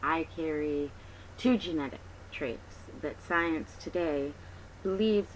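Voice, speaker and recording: Her voice is very deep and low for a woman, swinging very widely in pitch. She talks at a fairly slow pace. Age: 30s. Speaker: patient advocate. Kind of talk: personal testimony appeal. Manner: hesitant with many fillers.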